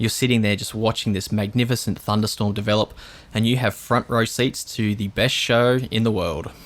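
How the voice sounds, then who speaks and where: In an Australian accent, a man talks at a moderate pace. His pitch is medium and his intonation fairly even. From Australia, southeast Queensland. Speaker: storm chaser. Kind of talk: interview.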